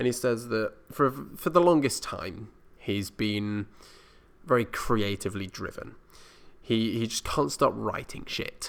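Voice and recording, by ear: A man speaks at a fairly slow pace in a fairly low, fairly bright voice with vocal fry and lively intonation. The recording is very clean, with a silent background.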